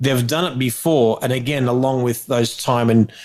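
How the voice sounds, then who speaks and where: A man with an Australian accent talks at a fairly quick pace and medium pitch on a very clean recording with a silent background. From Australia, Melbourne. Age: 40s. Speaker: wedding photographer. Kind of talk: interview. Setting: podcast recording. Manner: halting, with repeated words.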